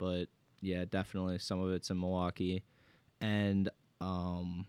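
A man's very deep, low voice with monotone, flat intonation and a dry, close sound free of echo. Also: very clean recording, silent background. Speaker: podcast host. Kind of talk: casual banter. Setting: studio.

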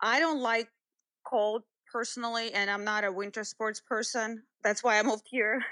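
With a Russian accent, a woman speaks in a bright, sharp tone at a fairly high pitch. Her intonation is fairly even, and the sound is dry and close with no echo over a quiet background. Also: moderate pace. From Russia, Moscow. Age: 30s. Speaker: fitness trainer. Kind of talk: interview.

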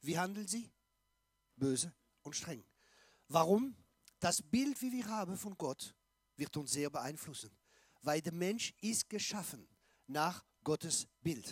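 Speaking very slowly with long, frequent pauses, a man uses a high pitch and very wide pitch swings in a dry, close sound with no echo. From Alsace, France. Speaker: pastor and evangelist. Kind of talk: sermon.

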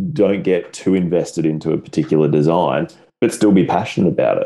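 Speaking with an Australian accent, a man has a very deep, low pitch and a dark, mellow tone. His pitch swings very widely. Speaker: podcast host. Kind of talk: casual interview chat.

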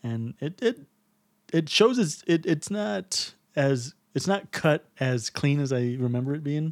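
A man with an American accent and a plain, everyday voice speaks at a fairly slow pace with a fairly high pitch and lively intonation, on a very clean recording with a silent background and a dry, close sound with no echo. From Texas. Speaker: podcast co-host. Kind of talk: casual chat.

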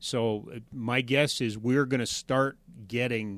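This is a normal speaking voice with a Canadian accent. The intonation is fairly even. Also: man. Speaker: sports podcast host. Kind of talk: casual chat.

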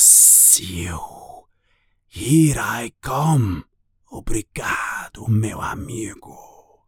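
In a put-on character voice, raspy and hissing, the words come at a very slow pace. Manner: cheerful, excited.

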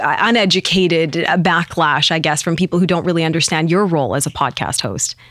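The speaker has a Western Canadian accent. Noticeable background noise can be heard. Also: woman. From Penticton, British Columbia, Canada. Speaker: TV news anchor. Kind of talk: casual interview chat. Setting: studio.

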